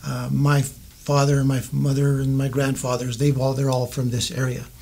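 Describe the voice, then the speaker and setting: With an American accent, a man speaks at a moderate pace in a fairly high, somewhat breathy voice. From US West, southern Colorado. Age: 60s. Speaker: mayoral candidate. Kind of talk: interview. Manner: halting, many fillers.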